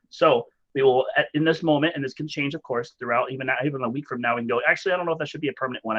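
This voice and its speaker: A man speaks very fast at a medium pitch with ordinary pitch variation. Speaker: meeting facilitator. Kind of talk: staff meeting facilitation.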